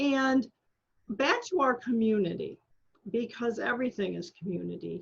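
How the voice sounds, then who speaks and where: With an American accent, a woman speaks at a moderate pace in an unremarkable speaking voice. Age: 60s. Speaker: podcast host and book coach. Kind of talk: interview.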